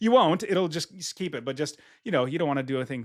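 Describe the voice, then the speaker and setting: A man at a very fast pace, enthusiastic and animated, with lively intonation on a very clean recording with a silent background. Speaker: real estate investor and software founder. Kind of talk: software tutorial walkthrough. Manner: enthusiastic, animated.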